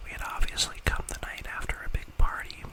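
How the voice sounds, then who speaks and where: The speaker whispers at a moderate pace. There is noticeable background noise. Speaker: ASMR creator. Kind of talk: ASMR creepypasta reading. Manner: soft-spoken, whispery, quiet.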